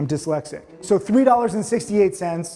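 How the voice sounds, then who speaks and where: A man with lively intonation. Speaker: stock trading teacher. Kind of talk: casual teaching session. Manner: fast.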